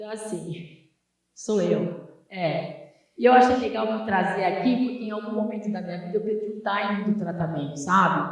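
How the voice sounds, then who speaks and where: A normal speaking voice with ordinary pitch variation, big swings in loudness, and a moderate pace. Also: woman, medium pitch for a woman. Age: 60s. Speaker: dermatologist. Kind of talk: workshop talk.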